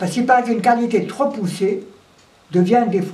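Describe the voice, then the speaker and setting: A fairly high-pitched woman's voice over noticeable background noise. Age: 80s+. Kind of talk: interview answer. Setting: indoors at home. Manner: energetic.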